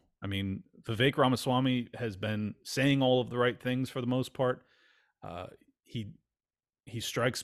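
With an American accent and a plain, everyday voice, a man speaks at a moderate pace with ordinary pitch variation in a very clean recording with a silent background. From California. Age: 40s. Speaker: podcast host. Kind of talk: casual chat.

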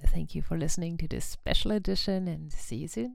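A woman speaks in a German accent. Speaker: podcast host. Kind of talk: podcast intro and outro. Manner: hesitant, many fillers.

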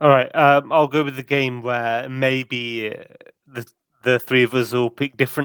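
A man with an English accent, fairly slow and monotone with flat intonation, in a dry, close sound with no echo. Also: medium pitch for a man. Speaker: podcast co-host. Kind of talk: casual chat.

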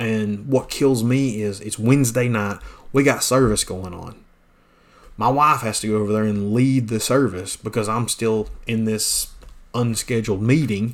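In a Southern US accent, a man talks at a moderate pace and medium pitch with fairly even intonation. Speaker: pastor. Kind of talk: podcast monologue, casual and preachy. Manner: casual, folksy.

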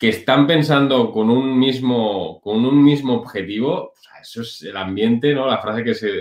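This man has an ordinary speaking voice at a medium pitch, with ordinary pitch variation and a moderate pace. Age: 30s. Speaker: online business entrepreneur, former dental clinic director. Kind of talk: interview.

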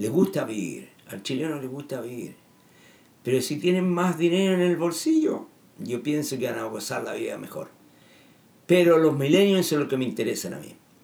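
A man's fairly high-pitched voice at a moderate pace, with lively intonation and audible room echo. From Chile. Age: 70s. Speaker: political commentator. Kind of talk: monologue. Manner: halting.

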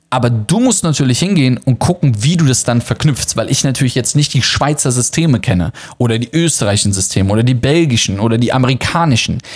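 A man talks at a very fast pace with hardly any pauses. His medium-pitched voice has lively intonation and very even loudness. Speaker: travel podcast host and online course seller. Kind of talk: promotional monologue. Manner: many filler hesitations.

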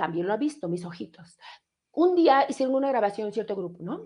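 A woman speaks at a moderate pace in an animated tone, her pitch swinging very widely. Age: 40s. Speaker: radio host. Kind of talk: casual live radio chat.

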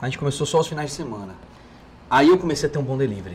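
A man talks at a very fast pace. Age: 30s. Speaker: burger restaurant owner. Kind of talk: casual chat.

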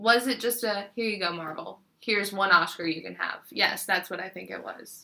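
At a moderate pace and medium pitch, a woman with an unremarkable speaking voice barely pauses, her loudness swinging widely while her pitch varies in an ordinary way. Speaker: podcast host. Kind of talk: casual chat.

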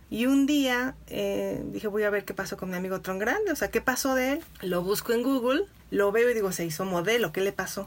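A woman speaks at a fairly quick pace with a medium pitch and ordinary pitch variation. It is an ordinary speaking voice. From Mexico, Irapuato, Guanajuato. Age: 40s. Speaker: editor and literature teacher. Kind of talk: interview conversation.

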